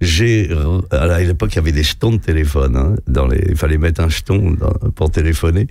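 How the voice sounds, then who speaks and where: A man with a very deep, low pitch at a moderate pace, amid noticeable background noise. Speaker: veteran radio host. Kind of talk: anecdotal storytelling in a radio interview. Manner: animated.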